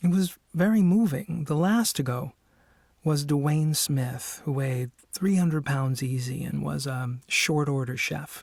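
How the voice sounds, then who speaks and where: A man speaks at a fairly slow pace with a fairly high pitch and ordinary pitch variation, sounding somewhat breathy. The recording is very clean, with a silent background. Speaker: audiobook narrator. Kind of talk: audiobook narration. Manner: measured, narrative.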